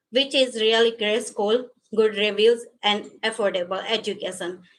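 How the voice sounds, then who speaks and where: A woman with a non-native accent speaks at a fairly slow pace and fairly high pitch, with ordinary pitch variation. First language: not English. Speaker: adult education graduate giving a speech. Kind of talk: graduation speech. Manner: halting.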